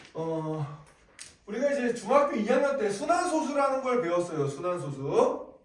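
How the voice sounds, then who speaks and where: Moderately paced speech with very wide swings in pitch and noticeable noise behind it. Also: man, extremely high pitch for a man. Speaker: math teacher. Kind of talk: lecture. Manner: casual, conversational.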